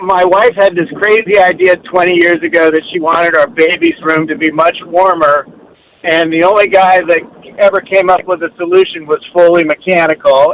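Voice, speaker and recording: Speaking in an American accent, the voice moves at a moderate pace with fairly even intonation. The sound is dry and close with no echo, though there is noticeable background noise. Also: man, high pitch for a man. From Maryland, US. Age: 60s. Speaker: caller. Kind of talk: casual chat.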